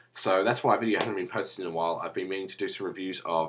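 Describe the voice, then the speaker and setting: This is a man speaking with an Australian accent. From Australia, Melbourne. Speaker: wrestling vlogger. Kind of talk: casual vlog monologue. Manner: rambling, casual.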